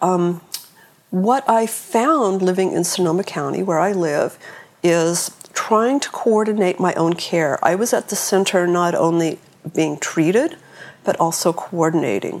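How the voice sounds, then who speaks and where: A woman with an American accent speaks at a fairly slow pace in a medium pitch. Her pitch varies in an ordinary way, and there is noticeable background noise. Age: 50s. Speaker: cancer patient and support group founder. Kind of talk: interview conversation.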